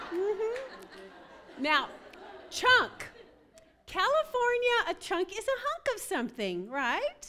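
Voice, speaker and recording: Raising and projecting her voice, a woman with an American accent speaks at a very slow pace in an extremely high pitch with very wide pitch swings, over noticeable background noise. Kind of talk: humorous talk at a women's retreat. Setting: stage with audience. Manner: animated.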